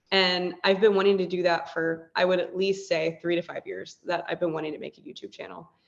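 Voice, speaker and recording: A woman speaks at a fairly quick pace with hardly any pauses, her intonation monotone and flat while her loudness swings widely. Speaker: model, photographer and teacher. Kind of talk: casual interview chat. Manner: fast; run-on sentences.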